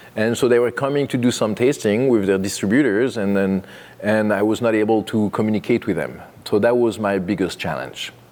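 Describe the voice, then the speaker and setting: A man with a French accent speaks fairly quickly in a fairly low pitch, with ordinary pitch variation. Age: 50s. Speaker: winemaker. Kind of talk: oral history interview. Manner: halting, many fillers.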